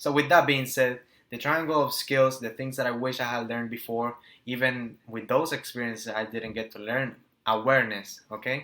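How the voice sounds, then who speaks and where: The voice has a Spanish accent and a bright, sharp tone, with big swings in loudness. Intonation is fairly even and the pace moderate. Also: man, medium pitch for a man. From Nicaragua. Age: 20s. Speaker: entrepreneur and business coach. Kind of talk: motivational talk to camera. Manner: halting, stumbles over words.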